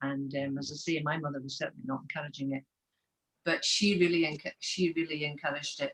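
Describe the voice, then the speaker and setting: A woman speaks in a Scottish Highland accent at a very deep, low pitch. Her pace is fairly quick and her intonation fairly even. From Scotland, west coast Highlands (Taynuilt). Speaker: Gaelic singer. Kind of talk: casual interview chat.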